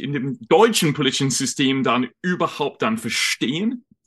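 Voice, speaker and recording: A man with an English accent speaks at a very slow pace. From United Kingdom. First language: English (speaking German). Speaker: journalist and lecturer on European politics. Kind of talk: interview on a livestream. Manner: halting, with fillers.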